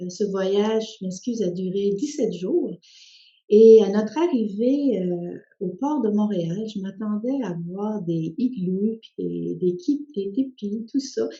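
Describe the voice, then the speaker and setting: At a very slow pace, a woman with a medium pitch speaks in a somewhat breathy voice with lively intonation and big swings in loudness. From Quebec (came from Spain via France at six). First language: Spanish (speaking French). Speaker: social worker and author. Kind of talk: personal testimony. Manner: hesitant, many fillers.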